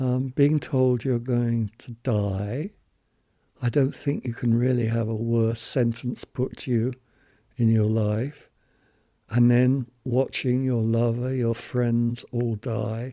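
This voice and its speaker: A man speaks at a very slow pace in a medium pitch, his tone dark and mellow and his intonation monotone and flat. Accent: British. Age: 70s. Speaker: HIV long-term survivor. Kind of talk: testimony.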